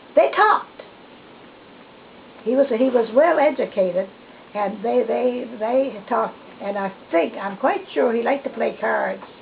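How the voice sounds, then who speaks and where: Noticeable background noise sits behind a woman with a fairly high pitch and lively intonation. She talks at a fairly slow pace with long, frequent pauses. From New Brunswick, Canada. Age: 80s+. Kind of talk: interview answer. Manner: hesitant, reminiscing.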